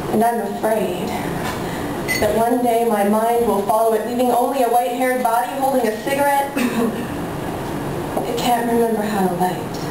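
A woman at a moderate pace, with audible room echo and noticeable background noise. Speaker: slam poet. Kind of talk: poetry slam performance. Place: cafe.

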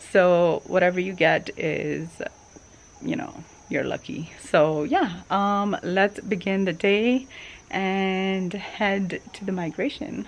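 Her pace is very slow. The woman's voice shows ordinary pitch variation. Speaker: travel vlogger. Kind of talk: casual vlog chat. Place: garden. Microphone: phone near.

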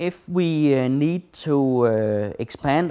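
The voice belongs to a man and has a dark, mellow tone. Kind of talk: tutorial.

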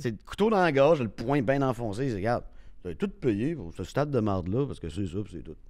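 Recorded very cleanly against a silent background, a man of medium pitch speaks at a moderate pace with very wide pitch swings and big swings in loudness. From Quebec City. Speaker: sports radio host. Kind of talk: casual chat.

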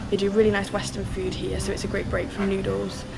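A woman talking at a very fast pace over loud background noise. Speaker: solo backpacker vlogger. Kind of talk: casual vlog chat. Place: garden. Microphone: phone near.

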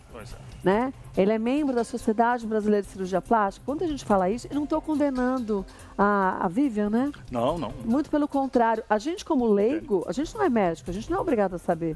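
Faint music plays in the background. Over it, a woman speaks at a very fast pace. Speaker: TV show host. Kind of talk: live TV talk show commentary. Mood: serious, indignant. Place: studio. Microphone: headset.

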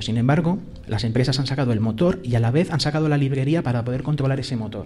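Very fast and somewhat breathy, a man speaks at a fairly high pitch with ordinary pitch variation. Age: 30s. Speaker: podcaster, tech hobbyist; podcaster. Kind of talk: live podcast conversation. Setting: live event with audience. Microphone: studio mic.

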